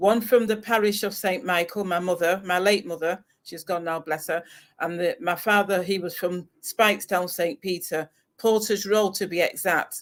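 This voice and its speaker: Intonation is fairly even, and the delivery goes at a moderate pace. The background is silent on this very clean recording. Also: woman, medium pitch for a woman. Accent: English. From northern England, Salford. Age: 60s. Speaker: retired expat. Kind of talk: interview. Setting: livestream.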